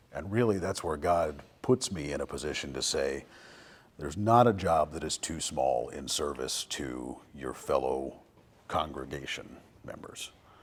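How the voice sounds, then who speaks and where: Booming and full of vocal fry, a man's very deep, low voice moves at a fairly slow pace with big swings in loudness. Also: lively intonation. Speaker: church facilities manager. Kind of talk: casual interview. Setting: outdoors.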